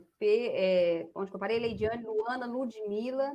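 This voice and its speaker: With ordinary pitch variation, a woman talks in a fairly high pitch. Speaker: radiology teacher. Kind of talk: online class. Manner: fast; energetic.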